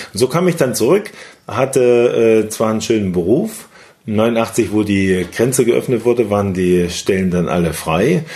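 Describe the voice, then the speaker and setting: With lively intonation and a fairly slow pace, a man speaks at a medium pitch in a normal speaking voice. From Thuringia, eastern Germany (Weimar). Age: 50s. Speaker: network marketing entrepreneur. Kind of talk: interview.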